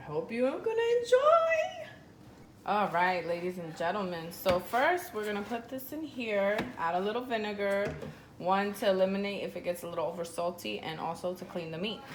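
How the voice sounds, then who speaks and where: Amid noticeable background noise and audible room echo, a woman at a medium pitch speaks at a moderate pace with lively intonation. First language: Spanish. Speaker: home cook vlogger. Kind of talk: cooking tutorial. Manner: casual, code-switching Spanish and English.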